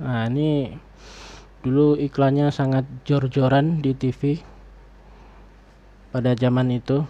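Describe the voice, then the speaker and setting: A soft-spoken man talks at a very slow pace with long, frequent pauses. His tone is dark and mellow, and his intonation is monotone and flat. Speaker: YouTuber reviewing online shopping. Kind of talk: casual personal review. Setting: home recording late at night.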